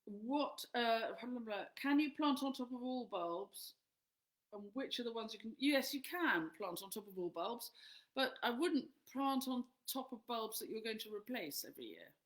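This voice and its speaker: A woman speaks at a moderate pace in a high voice, her intonation lively. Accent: English. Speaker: flower farmer and author. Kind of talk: live Q&A answering questions. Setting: live stream.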